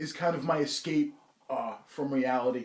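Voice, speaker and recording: A moderate pace in a New Jersey accent. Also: man. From New Jersey, Bayonne. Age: 30s. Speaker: interviewee. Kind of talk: interview. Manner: halting.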